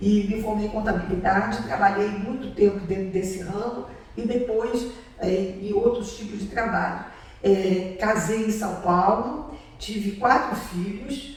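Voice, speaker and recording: Speech comes at a fairly slow pace, with noticeable background noise and an audible echo of the room. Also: woman, medium pitch for a woman, ordinary pitch variation. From Europe, emigrated to Brazil as a child after WWII. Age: 80s+. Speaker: Holocaust survivor. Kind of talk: testimony answering student questions. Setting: video call. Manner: halting, with frequent fillers.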